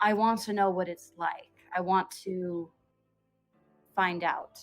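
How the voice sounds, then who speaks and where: A woman's put-on character voice, gravelly and at a medium pitch, fairly slow and monotone, with music in the background. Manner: wistful, longing.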